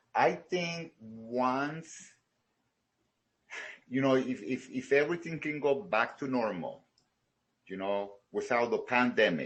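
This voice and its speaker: With a Salvadoran accent, a man talks very slowly with lively intonation and long, frequent pauses. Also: fairly high pitch for a man. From El Salvador. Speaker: karate studio owner. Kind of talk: interview. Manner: halting, many fillers.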